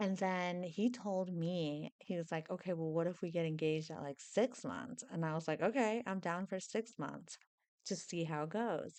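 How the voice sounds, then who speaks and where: A woman's voice sits at a fairly low pitch with ordinary variation. She keeps a moderate pace. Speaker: YouTuber and yoga teacher. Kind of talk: casual vlog advice. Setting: at home at night. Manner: animated.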